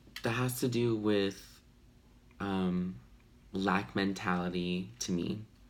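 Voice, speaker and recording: Very slow and marked by long, frequent pauses, the speech keeps a very even loudness and ordinary pitch variation, with audible room echo. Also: man, fairly low pitch for a man. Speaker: tarot reader. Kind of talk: tarot reading. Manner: casual, hesitant with fillers.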